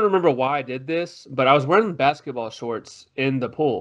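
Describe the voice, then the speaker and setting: Fairly quick speech from a man in a plain, everyday voice, at medium pitch and with ordinary pitch variation. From Texas, Tyler. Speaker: podcast co-host. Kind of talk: casual chat. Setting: video podcast.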